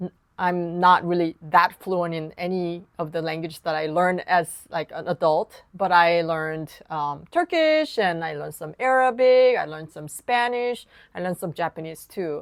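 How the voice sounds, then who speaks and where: A woman talks at a moderate pace, her loudness rising and falling sharply. The sound is dry and close with no echo, on a very clean recording with a silent background. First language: Korean. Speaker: piano teacher. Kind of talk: tutorial.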